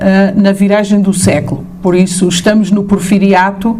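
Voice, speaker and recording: An European Portuguese accent amid noticeable background noise and audible room echo. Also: woman. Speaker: professor. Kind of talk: lecture. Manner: hesitant, many fillers.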